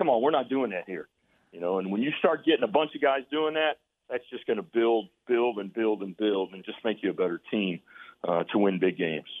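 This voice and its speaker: Speaking at a fairly quick pace, a man with an unremarkable speaking voice and medium pitch uses lively intonation. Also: big swings in loudness. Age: 60s. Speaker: college basketball coach. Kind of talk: radio interview.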